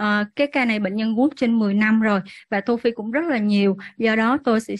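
A woman talks at a very fast pace in a somewhat breathy voice against a quiet background. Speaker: physician. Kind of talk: medical lecture. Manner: halting, many filler sounds; formal.

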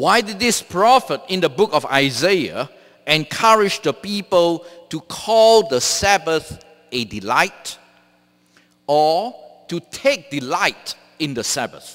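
Over a quiet background, a man speaks very slowly at a high pitch with very wide pitch swings. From Malaysia. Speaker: theology professor and seminary president; theology professor. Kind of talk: sermon. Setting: church. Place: church. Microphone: podium.

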